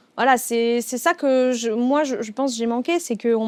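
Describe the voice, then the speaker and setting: Speaking at a moderate pace, a woman uses a high pitch with ordinary pitch variation in a very clean recording with a silent background. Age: 20s. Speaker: DJ with type 1 diabetes. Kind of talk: interview conversation. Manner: hesitant, many fillers.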